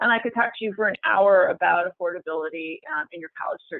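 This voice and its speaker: The woman's pitch is fairly low. She moves at a fairly quick pace with ordinary pitch variation. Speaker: independent college financial aid consultant. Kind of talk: webinar presentation. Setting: online webinar. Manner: hesitant, many fillers.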